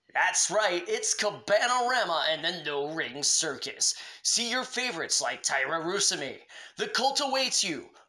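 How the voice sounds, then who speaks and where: The talking holds a moderate pace while noticeable background noise stays present. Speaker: wrestling promotion announcer. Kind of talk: over-the-top parody infomercial pitch. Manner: hard-selling, hyped pitchman patter; brash, urgent call-to-action delivery.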